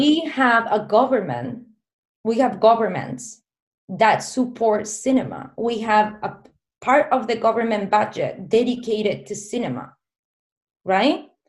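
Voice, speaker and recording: With a Spanish accent and vocal fry, a woman speaks at a fairly slow pace in a fairly high pitch, using ordinary pitch variation and long, frequent pauses. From southern Spain, small town. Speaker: filmmaker. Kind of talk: casual interview chat.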